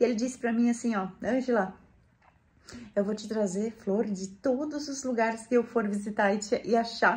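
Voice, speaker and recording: Intonation stays fairly even throughout. The voice has a somewhat breathy quality. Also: woman, fairly high pitch for a woman, moderate pace. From Brazil, rural Rio Grande do Sul. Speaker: gardening and home lifestyle YouTuber. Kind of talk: casual vlog talk to viewers.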